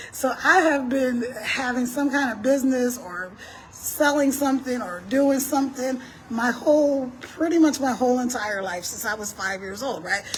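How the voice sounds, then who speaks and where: Amid noticeable background noise and audible room echo, a woman with a high pitch speaks at a moderate pace in an animated tone, with ordinary pitch variation and big swings in loudness. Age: 60s. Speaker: entrepreneur and live streamer. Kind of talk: casual live stream talk. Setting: outdoors walking on a street.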